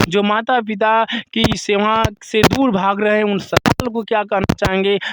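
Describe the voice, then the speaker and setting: The sound is dry and close, with no echo. A man speaks with a high pitch. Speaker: village reporter. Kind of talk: field interview and commentary.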